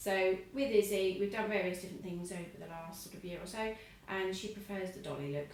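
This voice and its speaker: A woman speaks at medium pitch with fairly even intonation. The recording has noticeable background noise and audible room echo. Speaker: eyelash technician. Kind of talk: tutorial. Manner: muffled. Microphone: wearing a face mask, muffled.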